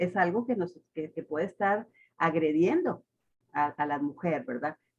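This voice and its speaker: This woman has a plain, everyday voice with a fairly low pitch. She talks at a fairly slow pace with lively intonation. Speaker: radio host. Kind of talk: radio interview talk.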